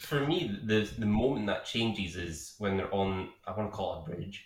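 A man at a moderate pace, fairly low-pitched, with ordinary pitch variation and noticeable background noise. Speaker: podcast co-host. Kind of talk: casual chat.

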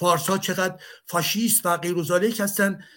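Very clean recording of a man's voice, silent background behind it. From Iran. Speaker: university professor. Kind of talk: panel discussion.

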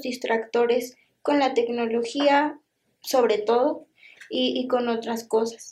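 A woman speaks at a very slow pace. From Mexico. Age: 30s. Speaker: Paralympic swimmer. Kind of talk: interview.

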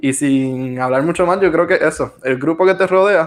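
This man has a normal speaking voice, with ordinary pitch variation and a moderate pace. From Puerto Rico, Arecibo. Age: 20s. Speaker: accounting student. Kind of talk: casual chat about faith.

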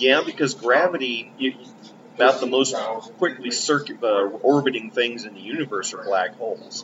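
Amid noticeable background noise, a man talks at a moderate pace with ordinary pitch variation. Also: medium pitch for a man, big swings in loudness. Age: 60s. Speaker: podcast co-host. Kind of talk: casual chat.

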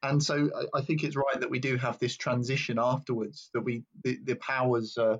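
The speaker is a man talking at a moderate pace. His pitch moves very little.

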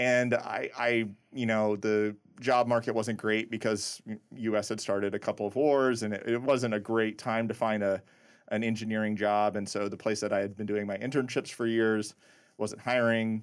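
In an American accent, the speaker talks at a moderate pace with flat, monotone intonation on a very clean recording with a silent background. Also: man, medium pitch for a man. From US Midwest, rural Nebraska. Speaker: biomedical engineering professor. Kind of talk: interview.

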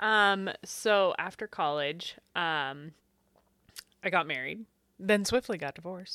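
A woman with a Pacific Northwest accent speaks at a very slow pace with long, frequent pauses, her medium-pitched voice bright and sharp in tone, ordinary in pitch variation, and recorded very cleanly with a silent background and a dry, close sound with no echo. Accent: Pacific Northwest American. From Eastern Washington. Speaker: podcast co-host. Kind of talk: casual chat.

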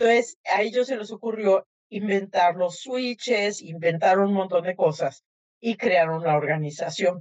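At a fairly slow pace, a woman uses an ordinary speaking voice with ordinary pitch variation. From Mexico City. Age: 50s. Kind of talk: interview.

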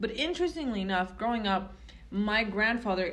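A woman with an American accent, heard with audible room echo. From Southern California. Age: 20s. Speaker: student podcast co-host. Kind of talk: casual chat.

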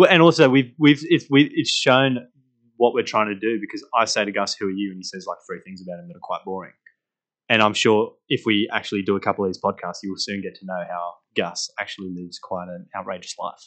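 A man talks at a very fast pace with an Australian accent, his intonation lively and his loudness swinging widely. The background is quiet. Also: fairly low pitch for a man. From Australia, rural New South Wales. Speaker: university student podcast co-host. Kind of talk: casual chat.

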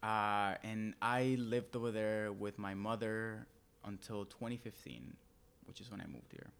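In a Spanish accent, a man speaks at a fairly low pitch and a fairly slow pace. His intonation is fairly even, though his loudness swings widely. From Venezuela, Maracaibo. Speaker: fashion designer and fast food worker. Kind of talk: casual chat.

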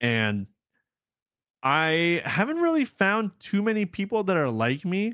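A man with a Canadian accent speaks at a fairly slow pace, his high pitch moving in very wide swings, with long, frequent pauses. The recording is very clean and dry, close with no echo, over a silent background. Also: very even loudness. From Canada. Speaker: gaming content creator. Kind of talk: casual chat.

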